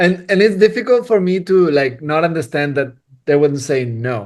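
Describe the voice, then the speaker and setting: The speaker's intonation is lively and the pace moderate. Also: man. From Spain. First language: Spanish. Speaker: cinematographer. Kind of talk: casual interview chat. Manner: animated, halting with repetitions.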